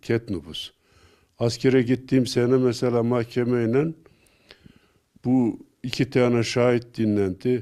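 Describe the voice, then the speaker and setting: This man has a dark, mellow tone at a medium pitch. He speaks very slowly with fairly even intonation and long, frequent pauses. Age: 70s. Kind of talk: casual personal recollection.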